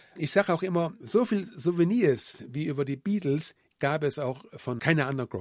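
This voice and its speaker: This man talks at a fairly slow pace with ordinary pitch variation, in a normal speaking voice. The sound is dry and close, with no echo. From Siegerland, Germany. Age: 60s. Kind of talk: interview.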